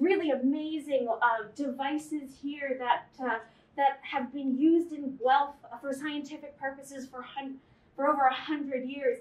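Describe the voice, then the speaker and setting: A high-pitched woman's voice in a monotone, flat intonation at a fairly slow pace, with audible room echo. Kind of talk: casual tour commentary. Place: hall. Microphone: camera far.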